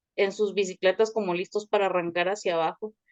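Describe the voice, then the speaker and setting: With a Guatemalan accent, a woman talks in fairly even intonation, the sound dry and close with no echo. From Guatemala City. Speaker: communicator, thanatology course participant. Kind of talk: personal introduction in online class.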